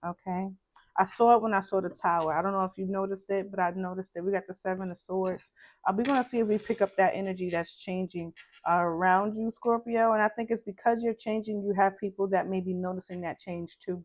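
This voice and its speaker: A woman with a Brooklyn accent is speaking. She talks at a very fast pace with fairly even intonation. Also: medium pitch for a woman. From Brooklyn, New York. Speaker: tarot reader. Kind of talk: tarot reading.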